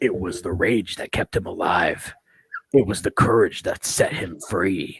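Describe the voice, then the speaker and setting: In a put-on character voice, a man speaks raspy and fairly low, with a dramatic tone. His pace is moderate. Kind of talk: dramatic book-blurb reading.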